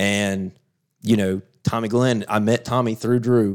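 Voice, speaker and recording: This man speaks with a Southern US accent and a fairly low pitch. His intonation is fairly even. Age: 40s. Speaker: off-road racer. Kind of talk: casual chat.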